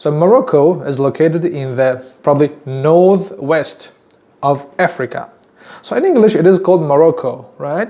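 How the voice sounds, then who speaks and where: At a moderate pace, a man with a Tajik accent speaks in a fairly high voice with lively intonation. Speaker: YouTuber teaching place names. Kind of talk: casual talk to camera. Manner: halting, many fillers and repeats.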